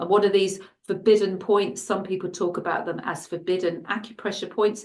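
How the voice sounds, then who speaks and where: In an English accent, a woman talks at a fairly quick pace with medium pitch and monotone, flat intonation. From England. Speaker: shiatsu and Chinese medicine practitioner. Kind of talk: interview. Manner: halting.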